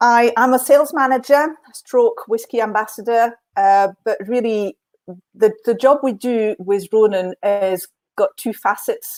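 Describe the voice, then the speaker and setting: Her French accent comes through at a fairly high pitch and a fairly slow pace, with ordinary pitch variation. The woman's voice sounds dry and close, with no echo. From France, French Alps. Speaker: whisky sales manager. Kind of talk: live online tasting chat. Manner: hesitant, many fillers.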